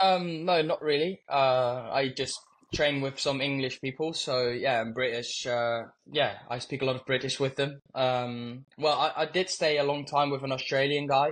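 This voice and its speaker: A man talks at a moderate pace with fairly even intonation. His pitch sits fairly high, and he has a slight Birmingham accent. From Netherlands. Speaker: motorcycle racer. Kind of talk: interview answers.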